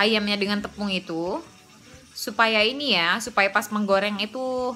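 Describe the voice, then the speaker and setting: The tone is bright and sharp. Delivery is at a moderate pace with ordinary pitch variation. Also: woman. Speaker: cooking and family vlogger. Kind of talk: casual vlog talk while cooking.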